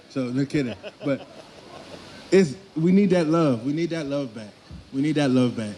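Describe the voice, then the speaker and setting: A man speaks at a fairly quick pace with a fairly high pitch and ordinary pitch variation. Noticeable background noise is present. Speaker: street interviewee at protest. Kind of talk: impassioned street speech.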